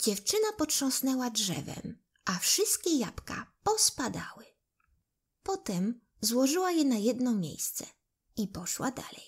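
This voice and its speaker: The voice has a gentle tone and very wide pitch swings, moving at a very slow pace. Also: woman, high pitch for a woman. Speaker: audiobook narrator. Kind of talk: bedtime fairy tale read aloud to children. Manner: gentle, unhurried storytelling pace; voices characters expressively, like the pleading loaves and apples.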